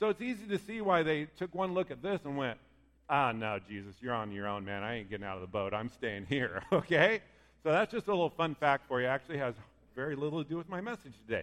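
With an American accent, a man talks at a very fast pace and a fairly high pitch, his voice making very wide pitch swings. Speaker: pastor. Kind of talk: sermon.

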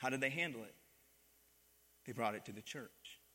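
A man speaks at a moderate pace in a bright, sharp tone. Vocal fry runs through his voice. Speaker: pastor. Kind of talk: sermon. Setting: church with congregation. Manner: animated, call-and-response, pausing to rally the congregation with "Amen?".

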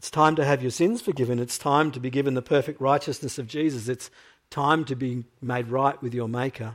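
Here is a man with a normal speaking voice, medium in pitch and fairly even in intonation. He talks at a fairly quick pace on a very clean recording with a silent background. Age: 50s. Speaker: preacher. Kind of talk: sermon.

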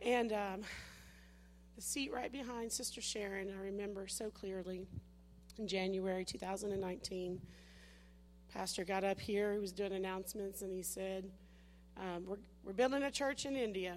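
A woman speaks at a moderate pace with fairly even intonation. Her pauses are long and frequent. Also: medium pitch for a woman. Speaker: missionary preacher. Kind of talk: sermon. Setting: church.

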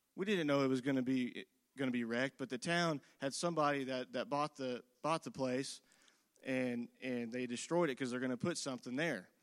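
A man speaks at a fairly quick pace with a Midwestern American accent. His pitch is medium with ordinary pitch variation, on a very clean recording with a silent background. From Indiana, US Midwest. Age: 20s. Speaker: lay preacher. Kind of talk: sermon. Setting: church service. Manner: repetitive, halting.

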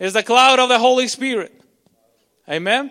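On a very clean recording with a silent background, a man talks in a bright, sharp, animated tone with ordinary pitch variation. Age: 30s. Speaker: pastor. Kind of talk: sermon.

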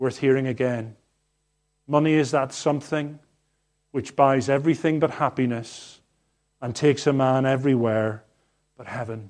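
Over a silent background on a very clean recording, a man with a medium-pitched voice talks at a moderate pace with fairly even intonation, big swings in loudness, and long, frequent pauses. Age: 50s. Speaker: pastor. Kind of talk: sermon. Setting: church.

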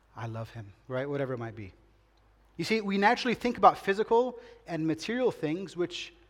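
His pitch high and swinging very widely, a man speaks at a moderate pace. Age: 40s. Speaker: pastor. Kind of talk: sermon. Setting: church.

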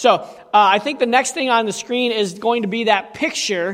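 Man with a high pitch, fairly quick pace, and ordinary pitch variation, over noticeable background noise. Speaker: pastor. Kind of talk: sermon.

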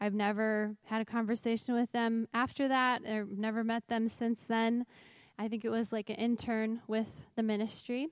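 A woman with a fairly high pitch speaks in a monotone, flat way at a moderate pace. The sound is dry and close, with no echo. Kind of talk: testimony. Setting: church stage with audience.

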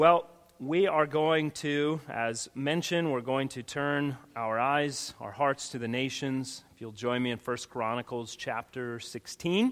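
This man has a plain, everyday voice, pitched fairly high, with ordinary pitch variation. He talks fairly slowly and hardly pauses at all. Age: 40s. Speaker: pastor. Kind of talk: sermon. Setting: church.

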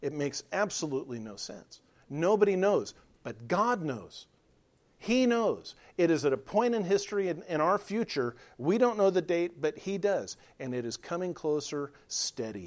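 Speaking at a moderate pace, a man uses a high voice with very wide pitch swings. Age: 50s. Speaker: pastor. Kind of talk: sermon.

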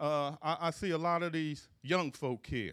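On a very clean recording with a silent background, a man with an American accent talks at a fairly slow pace. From Philadelphia, US. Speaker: preacher. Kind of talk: sermon. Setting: church. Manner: stuttering, repeats words, halting.

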